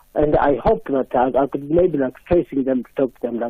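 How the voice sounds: A man at a fairly quick pace, a slightly husky edge to his voice, with ordinary pitch variation.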